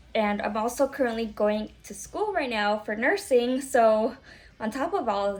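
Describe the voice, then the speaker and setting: A woman with an American accent and a normal speaking voice: fairly high pitch, ordinary pitch variation, fairly slow pace. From Florida, US. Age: 30s. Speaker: vlogger and small business owner, military veteran. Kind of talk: casual vlog introduction. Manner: casual, conversational with fillers.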